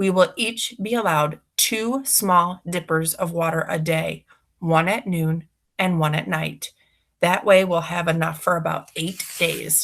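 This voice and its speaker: Using a put-on character voice, a woman speaks fairly slowly in a raspy, fairly low-pitched tone. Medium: read story. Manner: firm, announcing.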